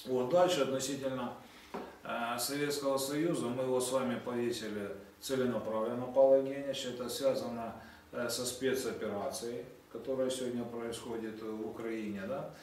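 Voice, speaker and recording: Room echo is audible as a man speaks at medium pitch. His pace is moderate and his intonation fairly even. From Sevastopol, Crimea; Crimea. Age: 60s. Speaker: public activist. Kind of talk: interview talk. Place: office. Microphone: camera far.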